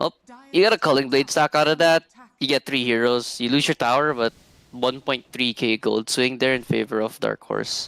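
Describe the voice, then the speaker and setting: In a dry, close sound with no echo, a man at medium pitch talks at a moderate pace with fairly even intonation and long, frequent pauses. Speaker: esports caster. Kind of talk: live commentary. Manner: soft-spoken.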